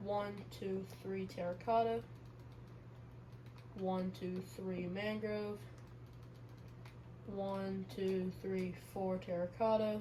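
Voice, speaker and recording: Quiet and at a very slow pace, a woman speaks with audible room echo. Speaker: gaming YouTuber. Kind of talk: gameplay commentary. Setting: home recording.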